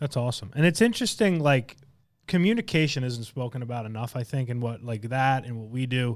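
Using a plain, everyday voice with an American accent, a man talks at a medium pitch with ordinary pitch variation. He keeps a fairly quick pace on a very clean recording with a silent background. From Long Island, New York. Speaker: podcast host, insurance agency leader. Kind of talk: podcast interview.

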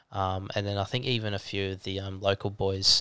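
A man speaks with an Australian accent at a moderate pace, his pitch fairly low and his tone bright and sharp. His intonation is flat and monotone, and the recording is very clean with a silent background. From Australia, Gold Coast. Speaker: videographer and trekker. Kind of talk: interview storytelling. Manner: hesitant, many ums.

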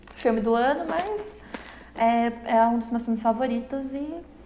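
A woman speaks at a fairly slow pace in a high pitch. Noticeable background noise and audible room echo fill the recording. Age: 20s. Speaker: podcast co-host. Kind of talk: casual chat.

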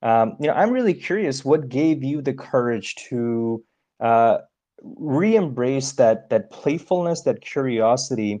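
Over a quiet background, a man with a fairly high pitch and a dark, mellow tone speaks at a fairly slow pace with lively intonation. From India. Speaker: podcast co-host, coach. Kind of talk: casual interview. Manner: hesitant, many fillers.

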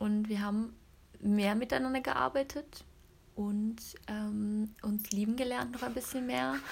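A woman with a fairly high, somewhat breathy voice speaks at a very slow pace with lively intonation and long, frequent pauses. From Cologne area, western Germany. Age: 30s. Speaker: network marketer and mother. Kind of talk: casual interview chat. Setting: at home, sitting on the carpet.

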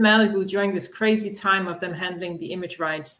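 Speaking with a Danish accent, a woman talks at a moderate pace and medium pitch, her intonation fairly even. The room echo is audible. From Denmark. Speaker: comic book publisher. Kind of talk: interview.

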